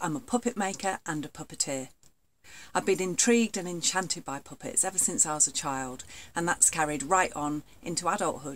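This woman's fairly low voice moves at a moderate pace with lively intonation. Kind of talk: casual explainer talk to camera. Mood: warm, enthusiastic. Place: home room. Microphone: webcam.

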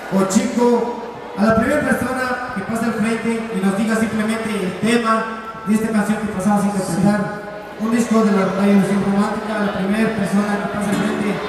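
In a strong room echo with noticeable background noise, a man talks fairly quickly at a high pitch with monotone, flat intonation. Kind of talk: stage announcement to audience. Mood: nostalgic, festive. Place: stage. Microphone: pa.

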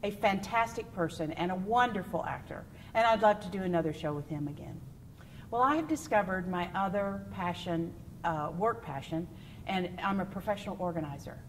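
Lively intonation marks a woman's moderate-paced speech in a Texan accent, with light background noise behind her. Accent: Texan American. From West Texas. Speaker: stage actor and singer; stage actress. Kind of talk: interview answers. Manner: animated. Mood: warm, cheerful. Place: stage. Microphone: lapel.

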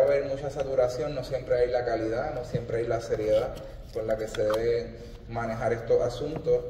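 Light background noise and audible room echo surround this speaker. He is a man talking at a moderate pace. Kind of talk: formal speech. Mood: proud, celebratory. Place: stage. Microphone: podium.

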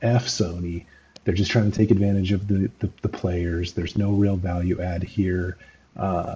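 A man speaks in a very deep, low pitch with a dark, mellow, somewhat breathy tone. His intonation is monotone and flat, his pace fairly slow, with light background noise. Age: 30s. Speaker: gaming commentator. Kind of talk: video commentary monologue. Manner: halting, many fillers. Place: home room.

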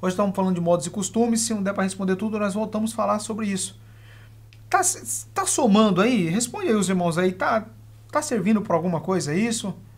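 Speaking in a calm tone at a fairly quick pace, a man leaves long, frequent pauses. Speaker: religious teacher hosting live Q&A. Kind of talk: live-stream Q&A on Bible teaching. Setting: live stream.

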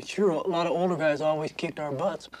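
Noticeable background noise accompanies a man speaking fairly quickly with fairly even intonation. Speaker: prison inmate and artist. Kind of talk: interview testimony.

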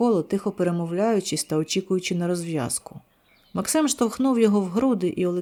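In a natural reading voice, the speaker uses ordinary pitch variation.

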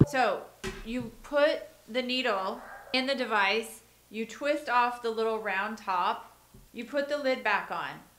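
Room echo is audible around a woman's voice. Her pitch varies in an ordinary way. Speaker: health coach teaching viewers. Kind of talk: tutorial. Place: office.

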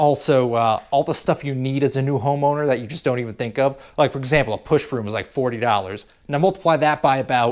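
A very fast pace with hardly any pauses, ordinary pitch variation and a quiet background. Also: man. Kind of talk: casual vlog chat. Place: garage. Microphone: phone near.

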